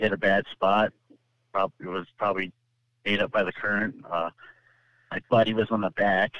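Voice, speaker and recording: Fairly low in pitch with an American accent, a man speaks at a fairly quick pace in a monotone, flat intonation, broken by long, frequent pauses. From California. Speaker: ice angler. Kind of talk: personal story interview.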